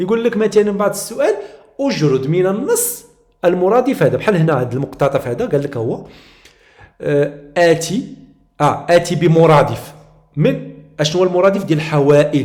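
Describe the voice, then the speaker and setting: A high-pitched man's voice in a Moroccan accent, with lively intonation, a moderate pace and long, frequent pauses. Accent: Moroccan Arabic (Darija). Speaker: teacher. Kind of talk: tutorial. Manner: halting.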